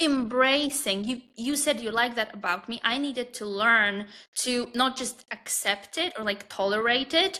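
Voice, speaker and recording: Speaking with a Polish accent, a woman with a high pitch and ordinary pitch variation talks at a fairly slow pace. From Poland. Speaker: confidence and dating coach. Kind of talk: podcast interview. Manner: halting.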